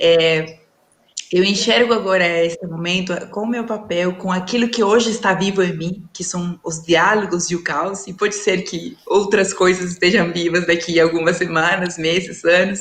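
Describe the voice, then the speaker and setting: With a Peruvian accent, a woman speaks in a fairly even intonation. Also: medium pitch for a woman, moderate pace. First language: Spanish (speaking Portuguese). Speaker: leadership and dialogue facilitator. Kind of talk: panel talk in a live stream. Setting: online live stream. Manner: halting, with many fillers.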